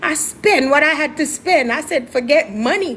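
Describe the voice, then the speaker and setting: A high-pitched, animated woman with an American accent at a moderate pace, with noticeable background noise. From Jamaica. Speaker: musical artist. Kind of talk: interview, telling her life story.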